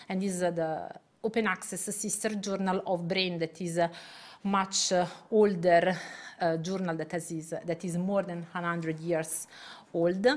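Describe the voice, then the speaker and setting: A woman with a fairly low voice speaks at a fairly slow pace. Her intonation is monotone and flat. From Italy. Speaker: neuroscientist and journal editor; guest. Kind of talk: lecture. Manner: halting. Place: hall.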